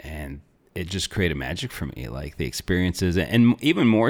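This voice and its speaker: With an American accent, a man with a very deep, low voice and vocal fry speaks at a moderate pace with lively intonation. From northern Arizona (small town). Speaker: natural health coach. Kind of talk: interview conversation. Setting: studio.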